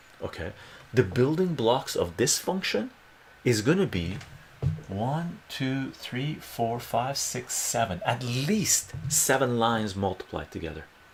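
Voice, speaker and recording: A soft-spoken man at a very slow pace, medium in pitch, with very wide pitch swings and long, frequent pauses. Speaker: math tutor. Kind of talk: live-stream math tutoring lesson. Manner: soft-spoken, explanatory.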